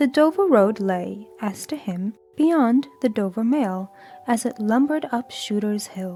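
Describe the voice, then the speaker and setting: A woman's voice comes in at a fairly high pitch. Behind her, music can be heard. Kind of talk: audiobook reading; sleep story. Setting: soft background music.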